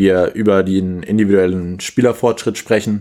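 A man's fairly low-pitched voice, dark and mellow in tone, with monotone, flat intonation. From Germany, Kassel (Hesse). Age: 20s. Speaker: athletic coach for youth handball. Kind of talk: casual podcast interview.

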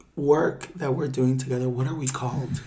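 Over noticeable background noise, the speaker uses an animated tone at a moderate pace. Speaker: podcast co-host. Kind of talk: casual chat.

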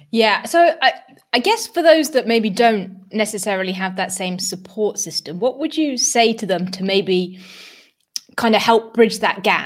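A woman speaks at a fairly high pitch with a British accent. Her pace is fairly slow and her intonation lively. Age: 30s. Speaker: podcast host. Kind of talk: casual interview chat. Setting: live stream.

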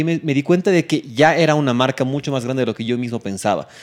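At a very fast pace, a man gets his words out. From Bolivia. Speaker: tech podcast host. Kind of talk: casual chat.

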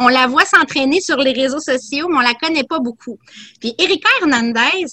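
Raised and projected, a woman's high voice comes across bright and sharp, moving at a moderate pace with lively intonation in a dry, close sound with no echo. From Quebec. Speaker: boxing commentator. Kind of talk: casual chat.

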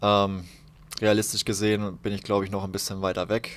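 His voice sits fairly low in pitch. The man's delivery stays flat and monotone. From Palatinate, southwestern Germany (Haßloch near Ludwigshafen). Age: 20s. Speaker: professional handball player. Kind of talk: casual interview. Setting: covered balcony, rain.

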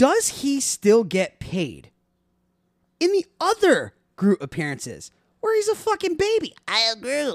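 An animated man's extremely high voice with very wide pitch swings, fairly slow pace, long, frequent pauses, and a dry, close sound with no echo. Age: 30s. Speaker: podcast host and math teacher. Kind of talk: casual chat.

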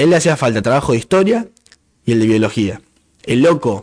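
A man's fairly quick, lively speech in a Rioplatense accent. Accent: Argentine Rioplatense Spanish. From Argentina, Santa Fe province (Constitución department). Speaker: podcast co-host. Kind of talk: casual chat.

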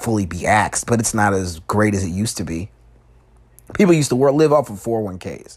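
This man speaks with a Chicago accent at a moderate pace. His pitch is fairly low and varies in an ordinary way. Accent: Chicago American English. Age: 20s. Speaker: podcast host. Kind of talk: casual monologue. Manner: halting.

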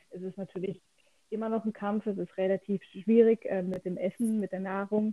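In a dry, close recording with no echo, a woman speaks at a medium pitch in a dark, mellow tone with monotone, flat intonation. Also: moderate pace. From southwest Germany, near Freiburg. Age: 30s. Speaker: cancer patient. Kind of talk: casual interview.

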